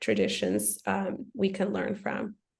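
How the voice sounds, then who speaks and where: With vocal fry in her medium-pitched voice, a woman talks at a moderate pace. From Ethiopia. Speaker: ministry director. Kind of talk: podcast interview.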